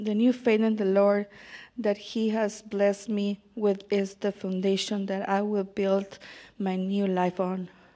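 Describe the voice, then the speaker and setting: A woman speaks in a Spanish accent at a fairly slow pace. Her medium-pitched voice has a dark, mellow tone and monotone, flat intonation. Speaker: baptism candidate. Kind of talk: testimony. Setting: church.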